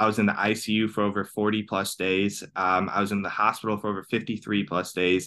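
A man with an American accent speaks at a fairly quick pace and fairly low pitch. His intonation is monotone and flat. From US. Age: 30s. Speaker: cancer survivor and transformational coach. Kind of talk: interview.

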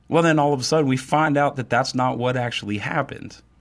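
At a fairly quick pace, a man with a medium pitch and ordinary pitch variation talks in an ordinary speaking voice. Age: 40s. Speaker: podcast host. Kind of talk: political commentary monologue. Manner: casual with frequent fillers.

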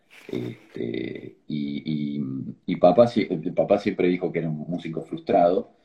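A man's very deep, low voice carries vocal fry and lively intonation. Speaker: organ donation advocate, tech entrepreneur. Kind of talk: interview. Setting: video call. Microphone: choppy connection.

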